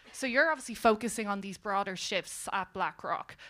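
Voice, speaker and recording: A woman speaks in a fairly high pitch with a bright, sharp tone. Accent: Irish. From Ireland. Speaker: panel moderator. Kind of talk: panel moderation. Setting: stage with audience.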